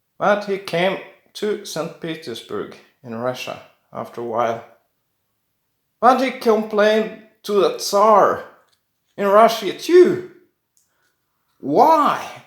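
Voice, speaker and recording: Speaking very slowly with long, frequent pauses, a man's voice rises and falls sharply in loudness amid audible room echo. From Norway. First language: Norwegian. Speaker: coin collector YouTuber. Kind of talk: casual video talk. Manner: halting.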